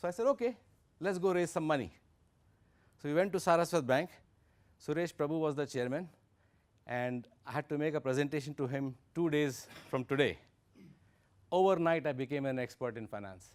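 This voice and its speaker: A man with an Indian accent and a fairly high voice talks at a fairly quick pace, broken by long, frequent pauses. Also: ordinary pitch variation. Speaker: investor and workshop speaker. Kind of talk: lecture.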